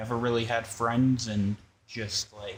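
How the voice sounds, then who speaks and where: The speech moves at a fairly slow pace with flat, monotone intonation. The voice is somewhat breathy. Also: man. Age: 20s. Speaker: sim racing streamer. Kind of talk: casual live stream chat. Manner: talkative.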